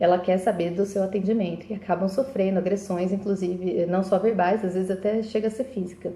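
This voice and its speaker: A woman speaks at a fairly quick pace with hardly any pauses. Her intonation stays fairly even at a medium pitch. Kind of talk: live video monologue. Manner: fast; halting.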